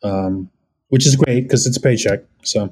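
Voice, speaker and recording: Dark and mellow in tone, a man's voice comes through with an American accent. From Orange County, California. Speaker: actor and film extra. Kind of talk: casual chat.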